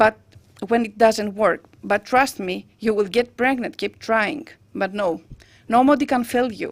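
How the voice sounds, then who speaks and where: A woman with a Greek accent speaks at a moderate pace. The recording is very clean, with a silent background. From Greece. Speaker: patient advocate. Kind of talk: personal testimony speech. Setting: parliament roundtable event.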